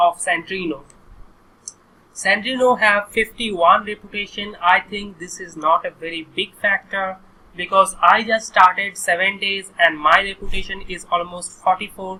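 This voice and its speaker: The speaker has an Indian accent and keeps a moderate pace. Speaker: online course instructor. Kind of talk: screen-recorded tutorial.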